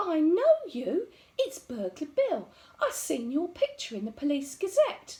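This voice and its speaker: A woman's put-on character voice, extremely high in pitch, with very wide pitch swings and a fairly slow pace. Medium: read story. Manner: chatty, friendly.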